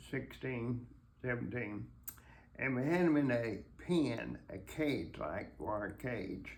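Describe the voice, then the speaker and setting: At a very slow pace, a man with a medium-pitched voice talks with vocal fry. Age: 80s+. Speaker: war veteran, former army medic. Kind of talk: interview answer, war memoir. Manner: halting, hesitant.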